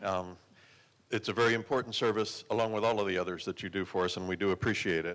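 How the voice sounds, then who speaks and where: With an American accent, a man talks at a very fast pace and a fairly low pitch, keeping his intonation fairly even. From Arizona, Glendale. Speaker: council candidate. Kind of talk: candidate debate statement. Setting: public forum at a women's club.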